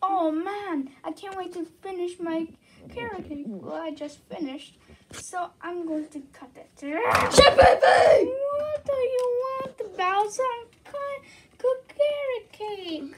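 A put-on character voice at an extremely high pitch moves at a fairly slow pace over light background noise. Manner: whiny, exasperated.

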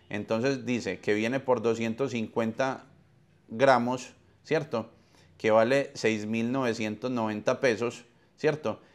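At a very slow pace, a man talks in a medium pitch with fairly even intonation. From Colombia. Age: 40s. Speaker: podcast host. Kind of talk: webinar talk. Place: home room. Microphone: lapel.

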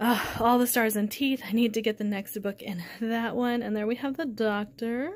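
With an American accent, a woman talks in an ordinary speaking voice, fairly high in pitch, with fairly even intonation and hardly any pauses. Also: moderate pace. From Oklahoma, US (Tulsa); Oklahoma. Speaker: book youtuber. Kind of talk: casual home video tour. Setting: at home. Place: home room. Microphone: phone near.

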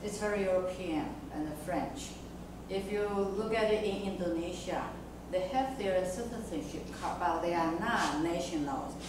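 Moderate-paced speech with audible room echo and noticeable background noise. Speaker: discussion moderator. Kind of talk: academic discussion. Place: classroom.

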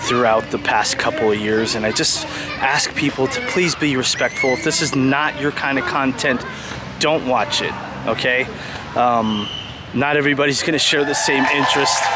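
A man at a moderate pace, dry sound with no echo, music in the background. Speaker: vlogger. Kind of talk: casual vlog chat. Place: street. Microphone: phone near.

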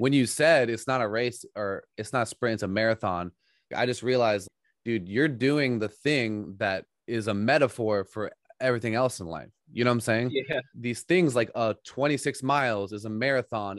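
Against a quiet background, a man speaks at a moderate pace with ordinary pitch variation, the sound dry with no echo. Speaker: podcast host. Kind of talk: casual podcast conversation. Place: home room. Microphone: studio mic.

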